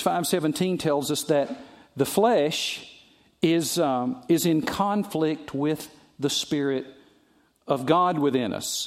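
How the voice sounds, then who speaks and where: With a Southern US accent, a man speaks very slowly at a fairly high pitch with lively intonation, recorded very cleanly against a silent background. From US South. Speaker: pastor. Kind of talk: sermon.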